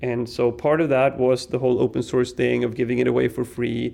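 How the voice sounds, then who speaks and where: Medium pitch and a dark, mellow tone from a man speaking at a moderate pace. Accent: Swedish. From Sweden. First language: Swedish. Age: 40s. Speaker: tech company CEO. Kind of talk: casual interview. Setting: conference venue.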